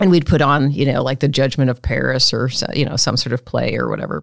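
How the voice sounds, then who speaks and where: Very deep and low in pitch, a woman's voice comes through with vocal fry. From US Midwest, Omaha, Nebraska. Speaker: artist and professor. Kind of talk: casual interview.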